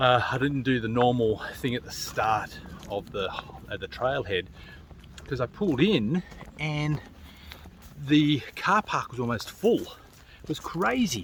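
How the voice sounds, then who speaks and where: A man with an Australian accent speaks at a medium pitch and a fairly slow pace, using lively intonation and long, frequent pauses over noticeable background noise. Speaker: solo hiker vlogger. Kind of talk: casual vlog narration. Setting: outdoors on a hiking trail. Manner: relaxed, conversational.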